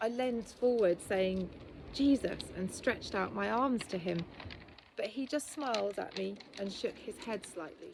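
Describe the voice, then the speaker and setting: Medium pitch, moderate pace and ordinary pitch variation from a woman with an ordinary speaking voice. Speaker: author. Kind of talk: reading of a personal testimony from a book.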